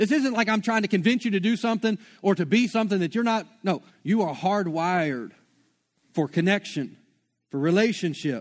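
A man's high-pitched voice at a fairly quick pace, with lively intonation and very even loudness, on a very clean recording with a silent background. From Shreveport, Louisiana. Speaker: pastor. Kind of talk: sermon. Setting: church. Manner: casual, filler-heavy.

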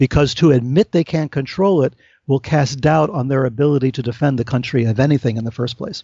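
With ordinary pitch variation, the somewhat breathy delivery runs at a fairly quick pace. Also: man, fairly high pitch for a man. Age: 60s. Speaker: author, UFO researcher. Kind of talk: interview conversation.

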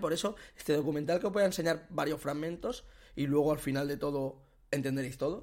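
In a normal speaking voice, a man with a fairly high pitch and ordinary pitch variation speaks on a very clean recording with a silent background. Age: 30s. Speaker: podcast host. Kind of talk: casual chat.

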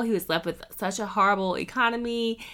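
In a very clean recording with a silent background, a woman with an American accent speaks at a moderate pace in a bright, sharp tone. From North Carolina. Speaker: podcast host and entrepreneur. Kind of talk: casual monologue.

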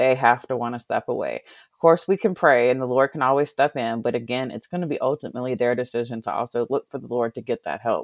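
A woman's very deep, low voice with an American accent, very fast with hardly any pauses, ordinary pitch variation and big swings in loudness. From Virginia (Covington, Alleghany County). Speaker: podcast guest, former call center rep. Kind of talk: casual chat.

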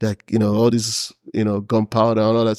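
Very fast speech from a man at medium pitch, in a very clean recording with a silent background and a dry, close sound with no echo. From Nigeria (Imo State, Igbo). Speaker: engineering graduate. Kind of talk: casual interview. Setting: studio.

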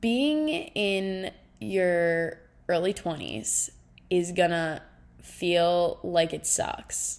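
A woman speaks in an unremarkable speaking voice, fairly low in pitch, with ordinary pitch variation. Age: 20s. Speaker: solo podcaster, recent college graduate. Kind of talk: casual solo monologue.

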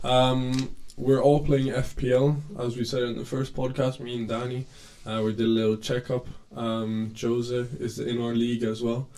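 The man's medium-pitched voice has a dark, mellow tone and flat, monotone intonation. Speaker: podcast host. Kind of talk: casual chat.

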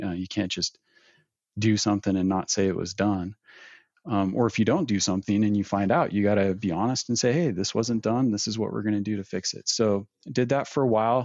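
This man has an unremarkable speaking voice with a fairly low pitch, in an American accent. He talks at a fairly quick pace with ordinary pitch variation. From Northern California. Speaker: knife maker and small business owner. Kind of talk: interview.

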